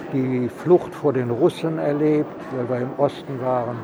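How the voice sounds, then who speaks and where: There is noticeable background noise in this clip. A man speaks at a very slow pace with fairly even intonation. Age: 80s+. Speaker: elderly vaccine recipient. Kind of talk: casual interview. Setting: vaccination centre on location.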